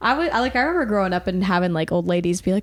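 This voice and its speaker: Talking very fast with lively intonation, a woman with an American accent speaks at a medium pitch over noticeable background noise. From US South. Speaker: podcast co-host. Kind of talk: casual chat.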